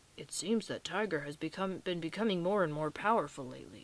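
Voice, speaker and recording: Someone speaks quietly at a fairly quick pace in a raspy, put-on character voice, with ordinary pitch variation. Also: woman, fairly low pitch for a woman. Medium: read story. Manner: quiet, measured.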